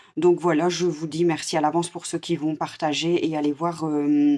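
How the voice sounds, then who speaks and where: Speaking at a fairly slow pace, a woman with a fairly low pitch uses monotone, flat intonation. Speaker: tarot card reader. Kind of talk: live stream card reading.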